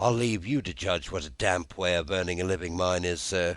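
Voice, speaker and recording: A man puts on a character voice that is raspy and very deep. He speaks at a fairly quick pace. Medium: read story. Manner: gruff, grumbling.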